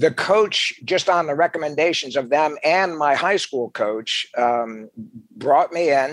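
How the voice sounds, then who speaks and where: A man with an American accent and a fairly high pitch, talking at a very slow pace. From New Jersey. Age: 60s. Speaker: retired military officer, leadership coach. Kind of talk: interview conversation. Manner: animated.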